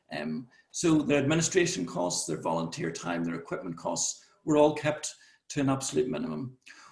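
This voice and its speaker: A man speaks at a fairly quick pace with an Irish accent. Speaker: conference presenter. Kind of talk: conference presentation. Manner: repetitive false starts.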